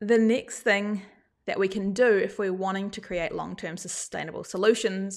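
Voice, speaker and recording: A woman with a New Zealand accent speaks at a moderate pace in a medium pitch, her intonation fairly even, on a very clean recording with a silent background. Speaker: gardening podcast host. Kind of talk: live show talk.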